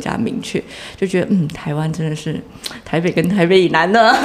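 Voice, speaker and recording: A woman with a Taiwanese accent, fairly low-pitched and lively in intonation, over noticeable background noise. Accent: Taiwanese Mandarin. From southern Taiwan, Chiayi. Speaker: digital marketing entrepreneur. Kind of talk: casual interview. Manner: energetic.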